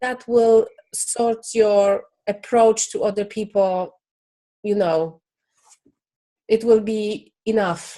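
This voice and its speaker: A woman with a non-native accent speaks at a very slow pace with long, frequent pauses. Her fairly high voice has a dark, mellow tone and fairly even intonation. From Poland. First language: Polish. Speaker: business founder. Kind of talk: interview. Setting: video call. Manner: halting.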